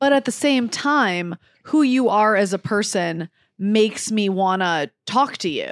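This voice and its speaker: A woman's unremarkable speaking voice in an American accent, fairly high in pitch, with lively intonation and a fairly slow pace, on a very clean recording with a silent background and a dry, close sound with no echo. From Detroit. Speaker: comedian. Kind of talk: casual chat. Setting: hotel room.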